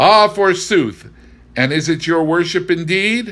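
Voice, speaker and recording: A cackling, put-on character voice from a man, high-pitched and fairly slow, on a very clean recording with a silent background. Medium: read story.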